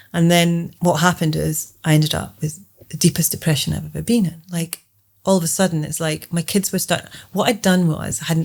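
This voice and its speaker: A woman with a fairly low pitch sounds somewhat breathy. She talks at a fairly quick pace with fairly even intonation. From Scotland. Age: 50s. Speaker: program creator and healing coach. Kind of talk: interview. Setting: at her home.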